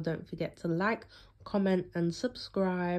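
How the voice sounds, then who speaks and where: A British accent at a fairly slow pace over a quiet background. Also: woman. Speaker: YouTube commentator. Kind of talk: casual commentary.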